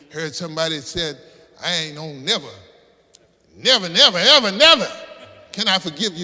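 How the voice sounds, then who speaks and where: An American-accented man talks with an animated tone, a high pitch and a fairly quick pace, broken by long, frequent pauses. His loudness swings widely, and there is noticeable background noise. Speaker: Baptist pastor. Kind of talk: sermon, preaching to congregation. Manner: animated, conversational, humorous.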